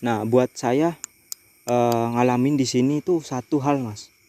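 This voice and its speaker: A man speaks at a medium pitch with a dark, mellow tone and fairly even intonation. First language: Javanese (speaking Indonesian). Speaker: horror vlogger. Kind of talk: night ghost-hunting vlog. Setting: outdoors on a bridge at night.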